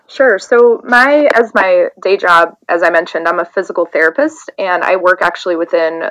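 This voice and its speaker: With an American accent, a woman uses an ordinary speaking voice at a fairly low pitch with ordinary pitch variation. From US South. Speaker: soccer coach and physical therapist. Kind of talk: casual interview.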